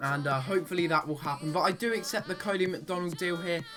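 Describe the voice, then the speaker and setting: High-pitched male speech at a fairly quick pace, with ordinary pitch variation and music in the background. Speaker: gaming commentator. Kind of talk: gameplay commentary. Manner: casual, chatty.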